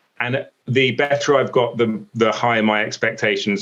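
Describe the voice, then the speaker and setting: This medium-pitched man speaks with an English accent. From England. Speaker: sports broadcaster. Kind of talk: casual interview chat. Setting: video call. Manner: stutters, halting.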